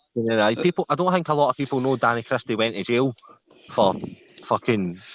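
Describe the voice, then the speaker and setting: A man with a Scottish accent, medium pitch, lively intonation and a fairly quick pace, in a dry, close sound with no echo. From Scotland, Glasgow south side. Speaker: live stream panel guest. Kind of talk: casual chat.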